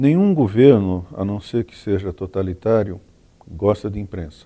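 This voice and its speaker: Fairly low in pitch with a dark, mellow tone, a man speaks at a fairly slow pace. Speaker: journalism professor, veteran journalist. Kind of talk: panel discussion. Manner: formal.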